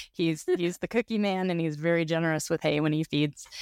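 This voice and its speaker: A woman with an ordinary speaking voice talks at a fairly low pitch with ordinary pitch variation, recorded very cleanly against a silent background with a dry, close sound and no echo. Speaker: podcast host and horse owner. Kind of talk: casual conversational interview.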